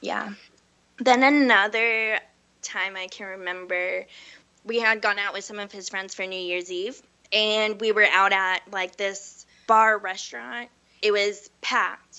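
A woman of medium pitch with an American accent talks at a fairly slow pace, her loudness swinging widely while her pitch varies in an ordinary way. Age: 20s. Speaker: hairstylist. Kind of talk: personal testimony. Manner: casual, upbeat.

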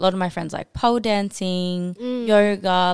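The recording is very clean and the background silent. She is a woman with an Australian accent. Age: 20s. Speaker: powerlifter. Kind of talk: casual chat.

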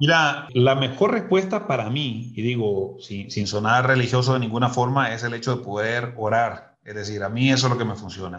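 A man in an ordinary speaking voice, medium pitch, moderate pace and hardly any pauses. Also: ordinary pitch variation. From Nicaragua, north of Matagalpa. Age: 40s. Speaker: lawyer and sales executive. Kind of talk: interview.

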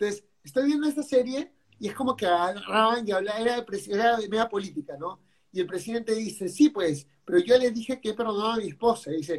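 A man's high-pitched voice races along at a very fast pace with lively intonation. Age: 30s. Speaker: podcast host and business consultant. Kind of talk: casual livestream interview. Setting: live stream. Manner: halting.

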